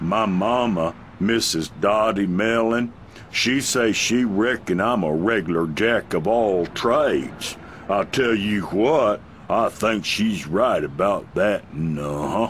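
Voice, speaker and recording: A man drawls in a put-on character voice at a fairly slow pace, with a fairly low pitch and ordinary pitch variation. Clear background noise runs behind him. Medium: video game. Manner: drawling, repetitive, folksy.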